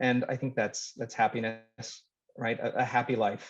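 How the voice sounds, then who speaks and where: In a Midwestern American accent, a man speaks at a fairly quick pace and medium pitch. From Nebraska (Lincoln). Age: 30s. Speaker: city council candidate. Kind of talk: candidate forum intro.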